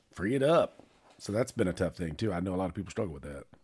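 In a normal speaking voice, a man with an American accent talks at a fairly low pitch with lively intonation. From Charlotte, North Carolina. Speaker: podcast co-host. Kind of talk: casual chat. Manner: laughs often.

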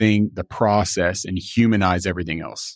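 A man with an unremarkable speaking voice talks at a moderate pace and a fairly low pitch. The recording is very clean with a silent background, and the sound is dry and close, with no echo. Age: 40s. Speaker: business coach. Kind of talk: interview. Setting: studio.

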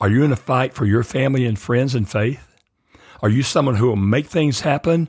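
A man speaks at a medium pitch, somewhat breathy. The recording is very clean, with a silent background. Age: 70s. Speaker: therapist and faith podcast host. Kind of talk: solo podcast teaching monologue.

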